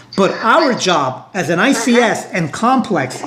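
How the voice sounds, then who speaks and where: A man talks with an American accent and lively intonation. Noticeable background noise runs underneath. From New York (Brooklyn). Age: 60s. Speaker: union leader. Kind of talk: interview discussion.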